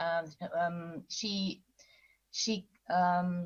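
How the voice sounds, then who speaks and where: A woman speaks in a somewhat breathy voice. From Austria. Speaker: novelist. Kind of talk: panel interview. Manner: halting.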